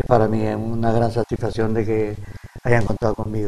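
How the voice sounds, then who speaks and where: This man talks at a moderate pace. His voice sits at a medium pitch. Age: 70s. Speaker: retired PE teacher and handball coach. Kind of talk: TV interview. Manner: halting.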